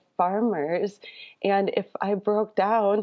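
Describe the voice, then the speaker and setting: A woman speaks at a medium pitch with an American accent, her intonation monotone and flat. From Wisconsin, Waupaca County. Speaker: farmer. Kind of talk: casual chat.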